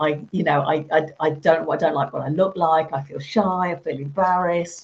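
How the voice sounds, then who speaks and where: A woman's somewhat breathy voice sits at a very deep, low pitch, her intonation fairly even. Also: moderate pace. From Birmingham, England. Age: 50s. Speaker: teacher trainer. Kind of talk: interview.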